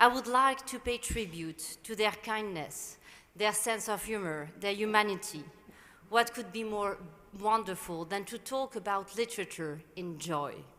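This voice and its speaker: A woman's fairly high, bright, sharp voice at a fairly slow pace, with ordinary pitch variation. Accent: French. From Morocco. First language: Arabic and French. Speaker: novelist, prize jury chair. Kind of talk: prepared speech at award ceremony. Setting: event venue with live audience. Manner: formal.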